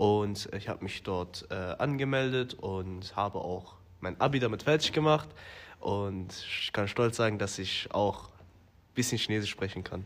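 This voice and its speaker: A fairly low-pitched man speaks at a fairly slow pace with ordinary pitch variation. His loudness swings widely. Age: 20s. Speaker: business developer. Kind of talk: interview. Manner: hesitant, many fillers.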